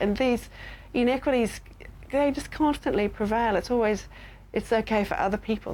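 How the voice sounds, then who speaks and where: Speaking in an Australian accent, a woman keeps a moderate pace with lively intonation. The recording is very clean, with a silent background. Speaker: university lecturer in public health. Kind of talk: interview. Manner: halting, with fillers.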